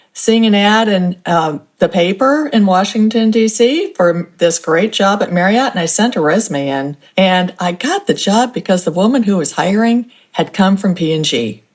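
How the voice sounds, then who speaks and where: A woman with an American accent uses a normal speaking voice at a medium pitch. Her pace is moderate and her intonation lively. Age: 60s. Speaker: author and couponing expert. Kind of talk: interview.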